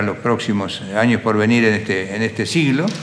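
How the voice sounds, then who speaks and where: With an Entre Ríos Argentine accent, a man speaks at medium pitch and a moderate pace with ordinary pitch variation, amid noticeable background noise and audible room echo. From Argentina, Crespo, Entre Ríos. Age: 70s. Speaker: agribusiness entrepreneur. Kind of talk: interview life story.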